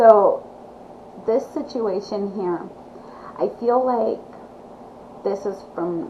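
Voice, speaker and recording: Against noticeable background noise, a woman talks at a very slow pace with long, frequent pauses and ordinary pitch variation. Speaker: tarot reader. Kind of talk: tarot reading. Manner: halting.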